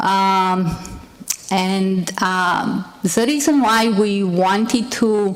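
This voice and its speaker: A woman with a non-native accent speaks very slowly at a medium pitch. Room echo is audible. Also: ordinary pitch variation. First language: not English. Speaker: nurse and healthcare executive. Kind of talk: conference panel presentation.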